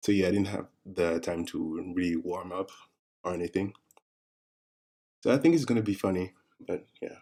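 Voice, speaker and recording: The tone is dark and mellow, with a French accent and fairly even intonation. The pace is moderate, broken by long, frequent pauses. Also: man, very deep, low pitch for a man. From France. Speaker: artist streaming a drawing session. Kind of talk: live stream chat. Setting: live stream. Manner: hesitant. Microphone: monitor's built-in mic, far away.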